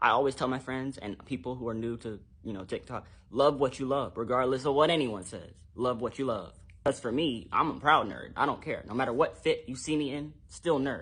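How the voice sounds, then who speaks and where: A man speaks at a fairly quick pace and a medium pitch. His intonation shows ordinary pitch variation over a quiet background. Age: 20s. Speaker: TikTok creator. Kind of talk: social media commentary. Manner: fast; animated.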